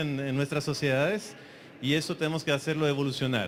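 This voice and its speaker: A man speaks as noticeable background noise carries on behind him. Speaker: conference speaker. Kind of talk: conference talk. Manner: fast.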